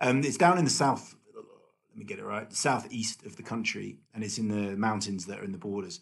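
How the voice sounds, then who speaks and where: Someone with a British accent speaks at a moderate pace with hardly any pauses and lively intonation. Vocal fry shows, and the loudness swings widely. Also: man, medium pitch for a man. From UK. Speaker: race organiser. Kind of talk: casual chat.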